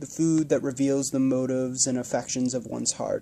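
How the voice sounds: A natural reading voice is what you hear.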